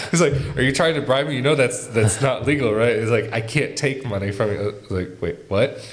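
Over noticeable background noise, a man talks at a fairly quick pace with hardly any pauses and ordinary pitch variation. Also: medium pitch for a man. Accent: American. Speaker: podcast host and content creator. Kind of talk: casual interview chat.

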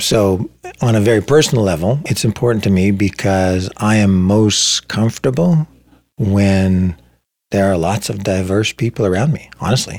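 A man's plain, everyday voice, fairly low in pitch, with ordinary pitch variation at a moderate pace. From Ontario, Canada (Saugeen Peninsula First Nation). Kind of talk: interview. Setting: in person, same room.

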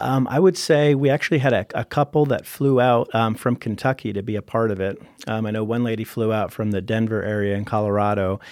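An unremarkable speaking voice belongs to a man with an American accent who talks at a medium pitch and fairly quick pace, with ordinary pitch variation, hardly any pauses and a dry, close sound with no echo. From Pennsylvania. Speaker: pastor. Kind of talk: casual chat.

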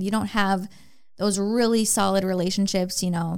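An ordinary speaking voice, this woman's comes at a medium pitch with an American accent, fairly even intonation and a moderate pace, on a very clean recording with a silent background. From Minnesota, US Midwest. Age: 20s. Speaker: online fitness coach. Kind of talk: casual chat. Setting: studio.

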